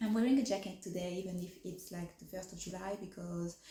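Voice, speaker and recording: Over noticeable background noise, a woman with a medium pitch speaks at a very fast pace. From France. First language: French. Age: 30s. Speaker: fashion vlogger. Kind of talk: casual vlog chat. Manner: hesitant, many fillers.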